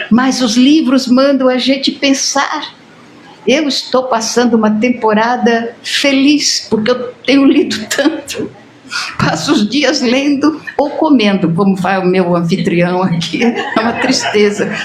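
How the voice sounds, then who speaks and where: Over noticeable background noise and audible room echo, a woman talks at a fairly slow pace in a fairly high voice with lively intonation and very even loudness. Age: 80s+. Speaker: spiritist lecturer. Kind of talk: lecture. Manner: animated.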